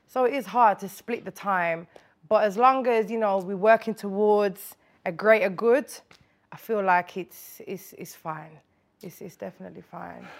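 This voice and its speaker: Big swings in loudness, ordinary pitch variation, and a very clean recording with a silent background. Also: woman, medium pitch for a woman, moderate pace. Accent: Birmingham. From Birmingham, England. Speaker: rapper. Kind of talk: casual interview chat.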